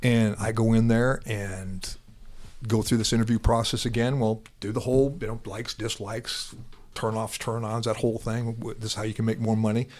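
Here a man with an American accent talks fairly quickly at a medium pitch, his intonation monotone and flat. The recording is very clean, with a silent background. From Iowa. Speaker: retired police officer, SWAT and narcotics. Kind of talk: casual interview, storytelling.

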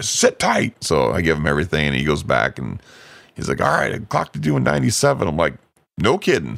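Speaking at a fairly quick pace, a man with a very deep, low pitch and vocal fry makes very wide pitch swings. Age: 40s. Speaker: car podcast host. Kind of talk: casual chat.

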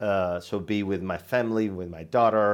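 A man speaks with an Italian accent in a fairly low voice. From central Italy. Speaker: sales team manager. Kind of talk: interview conversation. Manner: halting, many fillers and repetitions.

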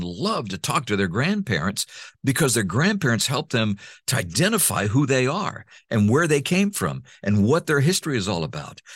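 A medium-pitched man with vocal fry speaks at a moderate pace with very wide pitch swings, on a very clean recording with a silent background. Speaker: voice talent and former radio host. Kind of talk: interview.

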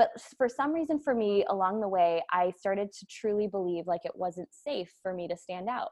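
A woman with an American accent speaks in a plain, everyday voice at medium pitch and a moderate pace, with lively intonation and big swings in loudness. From US Midwest, Wisconsin. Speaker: entrepreneur and business coach. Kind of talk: casual interview chat.

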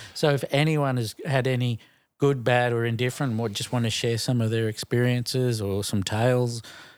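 A man with an Australian accent, at medium pitch and a moderate pace, in fairly even intonation, on a very clean recording with a silent background. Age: 40s. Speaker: podcast co-host. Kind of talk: casual chat.

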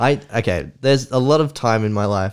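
The speaker has an Australian accent and lively intonation. The recording is very clean, with a silent background. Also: man. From Australia, Canberra. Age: 30s. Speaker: entrepreneur. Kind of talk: casual chat.

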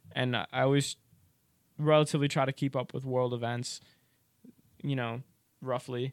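A man with an American accent speaks at a moderate pace in a medium-pitched voice with monotone, flat intonation and long, frequent pauses. The sound is dry and close, with no echo. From rural area near New York, US Northeast. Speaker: college student. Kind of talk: casual chat.

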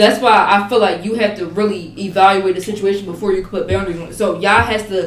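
A woman's medium-pitched, monotone, flat delivery at a very fast pace, with audible room echo and noticeable background noise. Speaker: college student. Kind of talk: casual chat.

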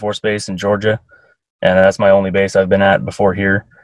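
Heard as a dry, close sound with no echo, a man with an American accent has a fairly low pitch and a plain, everyday voice. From Eastern Oregon, US. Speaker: Air Force radio technician. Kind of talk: casual interview.

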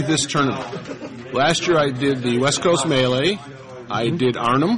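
Noticeable background noise and audible room echo around a man's voice of ordinary pitch variation. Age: 60s. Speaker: retired tournament player. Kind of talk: casual interview.

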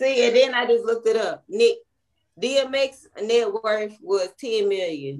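With a Louisiana accent, a woman talks at a very slow pace in a fairly high pitch, her intonation lively. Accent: US Southern, Louisiana. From Baton Rouge, Louisiana. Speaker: podcast co-host. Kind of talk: casual chat.

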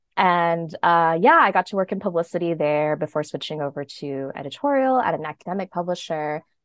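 An unremarkable speaking voice belongs to a woman with an American accent, who talks at a fairly quick pace with lively intonation. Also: fairly low pitch for a woman. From US Northeast, New Jersey suburbs. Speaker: novelist. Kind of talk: interview.

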